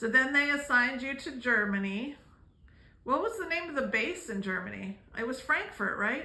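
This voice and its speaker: A woman shouting, loud and high-pitched, with lively intonation at a moderate pace over noticeable background noise. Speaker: family vlogger. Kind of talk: interviewing a family member. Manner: loud, shouting.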